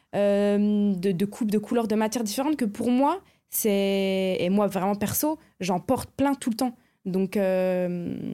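A woman talks at a very slow pace in a dark, mellow tone, with very even loudness and ordinary pitch variation. The recording is very clean with a silent background. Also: medium pitch for a woman. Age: 20s. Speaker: visual artist. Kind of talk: casual chat.

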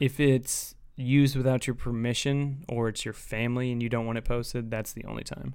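Here a man with an American accent talks at a fairly quick pace and medium pitch, using monotone, flat intonation and hardly any pauses. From US Midwest. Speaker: podcast co-host. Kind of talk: casual banter, comedy podcast. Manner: mumbling, doesn't project.

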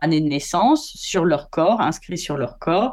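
The pitch swings very widely. The speaker is a woman. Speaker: photographer. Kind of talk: interview. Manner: hesitant.

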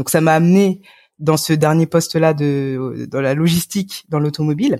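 A woman with a very deep, low pitch and a dark, mellow tone, in a very clean recording with a silent background. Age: young. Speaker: pastor. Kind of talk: casual chat.

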